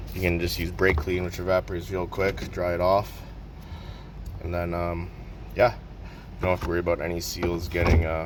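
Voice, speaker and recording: Over noticeable background noise, a man speaks in a relaxed tone at a very deep, low pitch, keeping a moderate pace with ordinary pitch variation. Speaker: mechanic making a how-to video. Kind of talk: tutorial. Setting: workshop at work. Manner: whispering; casual, relaxed.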